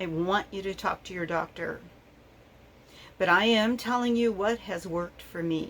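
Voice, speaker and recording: Delivery comes at a medium speed. Pitch stays mostly level. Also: woman. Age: 60s. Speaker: diabetes vlogger. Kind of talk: personal vlog monologue. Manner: hesitant, many fillers.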